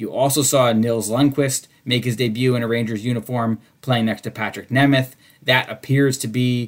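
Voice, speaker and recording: A man talks at a fairly quick pace at medium pitch. His intonation stays fairly even. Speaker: podcast host and hockey reporter. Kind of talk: interview and solo commentary on a sports podcast. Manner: loud talker.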